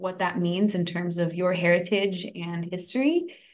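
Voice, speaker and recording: A woman with a Californian accent speaks at a fairly low pitch. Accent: Californian American. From California, San Francisco and Davis. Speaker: food cooperative worker-owner and organizer; podcast guest. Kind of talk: interview. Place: home room. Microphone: video call.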